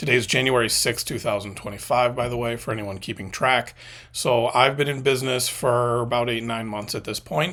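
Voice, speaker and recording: A man speaks at a fairly quick pace and a medium pitch, his intonation fairly even, on a very clean recording with a silent background. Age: 40s. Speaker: media consultant and former video editor. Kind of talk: casual vlog monologue. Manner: halting with many fillers.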